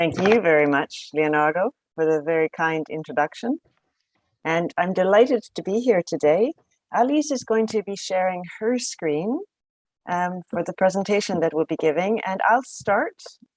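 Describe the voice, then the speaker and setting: In a Canadian accent, a woman with a normal speaking voice talks at a moderate pace with medium pitch and lively intonation, the sound dry and close with no echo. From Canada. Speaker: professor. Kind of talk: lecture.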